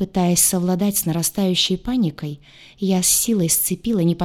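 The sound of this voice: Unforced reading voice, heard alone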